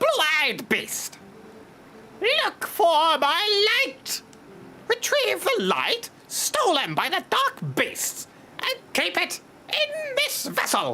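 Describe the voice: Over clear background noise, a put-on character voice at extremely high pitch drags along at a very slow pace.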